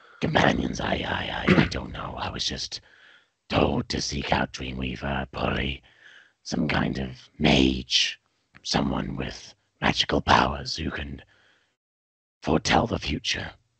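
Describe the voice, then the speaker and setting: Using a put-on character voice, a man speaks in a raspy, very deep, low pitch with monotone, flat intonation, a fairly slow pace and long, frequent pauses. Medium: actual play. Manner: hesitant, halting.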